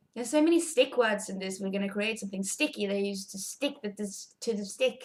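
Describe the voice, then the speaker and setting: Somewhat breathy and medium in pitch, a woman talks at a fairly quick pace with ordinary pitch variation and big swings in loudness. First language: Swedish. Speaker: pet vlogger. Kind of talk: tutorial. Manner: casual, chatty.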